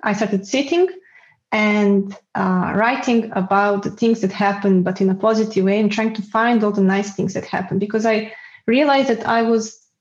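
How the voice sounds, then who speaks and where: A woman's somewhat breathy voice at a fairly quick pace, with fairly even intonation. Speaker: guest with multiple sclerosis. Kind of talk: casual interview. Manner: halting, self-correcting.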